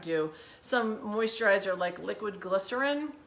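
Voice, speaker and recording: Noticeable background noise sits behind a woman who speaks at a medium pitch with lively intonation. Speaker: wellness challenge host. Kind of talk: tutorial. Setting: home kitchen. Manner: fast; animated.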